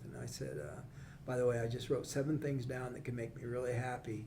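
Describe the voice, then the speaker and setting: Amid audible room echo and noticeable background noise, a man with a Midwestern American accent talks at a fairly quick pace and medium pitch with fairly even intonation. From central Illinois. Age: 70s. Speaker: chamber of commerce executive, former state legislator. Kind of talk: casual interview conversation. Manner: talkative, repeats words.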